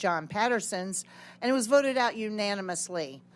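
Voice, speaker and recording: A woman in an unremarkable speaking voice, medium pitch, ordinary pitch variation, in a very clean recording with a silent background. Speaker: state legislator. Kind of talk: committee hearing testimony.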